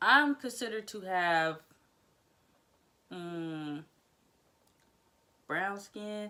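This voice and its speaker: A woman at medium pitch with a bright, sharp tone and lively intonation, at a very slow pace with long, frequent pauses. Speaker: hair vlogger and cosmetologist. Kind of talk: casual vlog monologue. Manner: halting, stutters and restarts.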